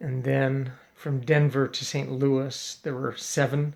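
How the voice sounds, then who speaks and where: A man speaks very slowly with an American accent. His pitch is fairly high and his intonation flat and monotone. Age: 60s. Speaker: father making video messages for his family. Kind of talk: casual personal video monologue. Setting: at home, late evening. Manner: hesitant, many fillers and restarts.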